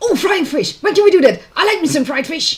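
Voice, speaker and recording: The speaker uses a put-on character voice with an extremely high pitch. The pace is fairly quick. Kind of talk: folksy, casual. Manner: eager, hungry, simple-minded.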